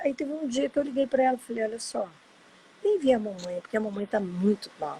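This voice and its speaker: A woman is speaking. Her pitch swings very widely. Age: 60s. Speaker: adoptee sharing her story. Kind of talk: personal testimony in a live interview. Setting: Instagram live video.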